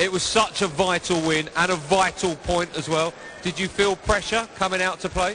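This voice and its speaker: Amid noticeable background noise, a man with a high pitch speaks at a moderate pace with fairly even intonation. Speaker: sports presenter. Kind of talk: post-match interview and studio chat. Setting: live arena with crowd.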